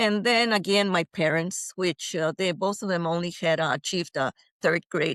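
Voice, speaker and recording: At a moderate pace, a woman with a Spanish accent speaks at a fairly low pitch with ordinary variation, in a dry, close sound with no echo and a quiet background. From Mexico. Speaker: retired engineer. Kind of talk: interview. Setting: podcast interview. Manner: halting, many fillers.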